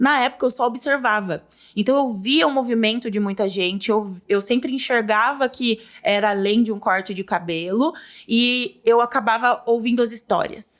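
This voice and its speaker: Here a woman speaks in a plain, everyday voice at a fairly high pitch. Her pace is moderate, and the recording is very clean with a silent background. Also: ordinary pitch variation. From Brazil, São Paulo interior (Porto Feliz). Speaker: business mentor. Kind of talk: interview.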